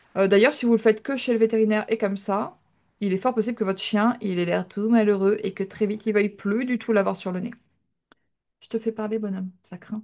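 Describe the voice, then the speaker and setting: Against a quiet background, a woman with a fairly high voice talks at a fairly quick pace, her intonation fairly even but her loudness swinging widely. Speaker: dog trainer. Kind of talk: live online class.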